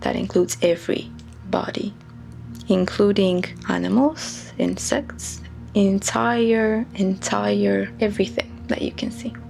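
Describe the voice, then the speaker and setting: Music plays in the background as a woman with a non-native accent speaks at a fairly slow pace. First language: not English. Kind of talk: reflective talk to camera. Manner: slow-paced.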